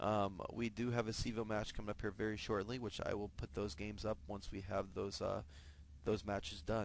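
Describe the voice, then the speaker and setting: A man speaks at a fairly quick pace with a fairly low pitch, ordinary pitch variation and vocal fry. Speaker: esports shoutcaster. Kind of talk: live game commentary. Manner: stutters at times, many fillers.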